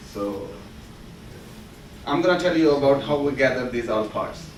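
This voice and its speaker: Recorded with audible room echo and noticeable background noise, a man uses a fairly high pitch and ordinary pitch variation. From Pakistan. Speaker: student presenter. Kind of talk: class project presentation.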